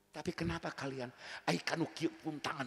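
Somewhat breathy, fairly quick speech in a West Javanese accent, with ordinary pitch variation. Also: man. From West Java, Tasikmalaya. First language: Sundanese (speaking Indonesian). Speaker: Islamic preacher. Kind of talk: sermon. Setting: religious gathering with audience. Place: stage. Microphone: handheld.

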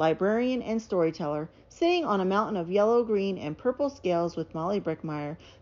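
Someone is reading aloud in a natural voice, and the intonation is lively.

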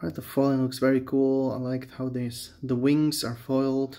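Over a quiet background, a man with a non-native accent speaks in a dark, mellow tone using fairly even intonation. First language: not English. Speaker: Magic: The Gathering booster opener, YouTuber. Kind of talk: casual video commentary while opening card packs. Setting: home video, talking to camera. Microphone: phone near.

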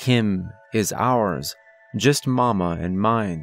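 A man with a fairly low pitch speaks with lively intonation. The sound is dry with no echo, and music plays in the background. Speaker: horror story narrator. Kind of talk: story narration.

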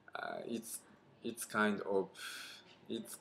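Light background noise sits behind a man speaking in a Japanese accent. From Niigata, Japan. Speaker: adult English learner. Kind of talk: scripted conversation practice reading. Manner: halting, with repetitions. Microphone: webcam.

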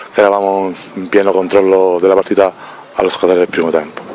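A man's very deep, low voice, monotone and flat, at a fairly quick pace, dry with no echo and light background noise. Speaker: sporting director of football club. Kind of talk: post-match interview. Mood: frustrated but composed. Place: stadium. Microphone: handheld.

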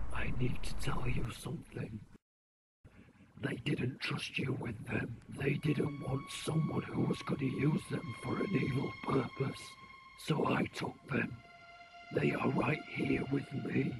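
A man performs a put-on character voice at a medium pitch. He speaks at a fairly slow pace with long, frequent pauses. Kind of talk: scripted film dialogue. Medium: short film. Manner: grave, urgent. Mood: urgent, confessional.

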